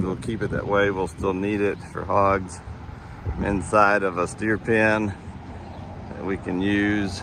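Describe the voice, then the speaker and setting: A man with a strong West Texas accent, fairly slow and fairly even in intonation, amid noticeable background noise. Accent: West Texas, pronounced. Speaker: school district administrator. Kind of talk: walking video tour narration. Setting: outdoors at farm barn.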